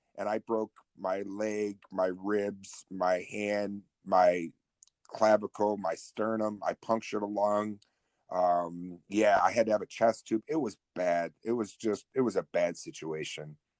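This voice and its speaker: In an unremarkable speaking voice, a man speaks at a fairly slow pace with fairly low pitch and fairly even intonation. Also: dry, close sound with no echo. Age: 50s; 50. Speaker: podcast guest. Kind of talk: casual interview.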